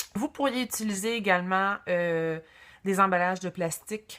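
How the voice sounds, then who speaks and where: A woman's medium-pitched voice moves at a fairly slow pace. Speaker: craft tutorial host. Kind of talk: tutorial. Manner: hesitant, many fillers.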